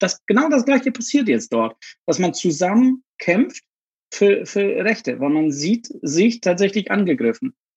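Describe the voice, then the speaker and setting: Heard in a dry, close sound with no echo, a man with a Polish accent swings his pitch very widely. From southern Poland. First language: Polish (speaking German). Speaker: LGBTQ activist. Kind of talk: interview.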